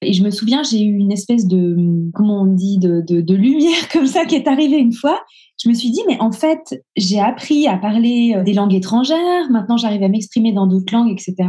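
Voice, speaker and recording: A woman speaks with a dark, mellow tone, somewhat breathy and with lively intonation, keeping her loudness very even. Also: fairly high pitch for a woman, moderate pace. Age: 40s. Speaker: coaching client. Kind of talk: testimony interview. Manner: halting.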